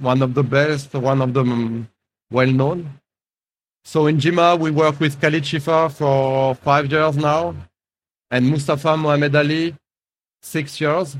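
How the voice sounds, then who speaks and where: Speaking at a fairly slow pace with long, frequent pauses, a man with a fairly high pitch keeps his loudness very even and his intonation fairly even. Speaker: coffee importer. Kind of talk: conference talk. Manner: halting.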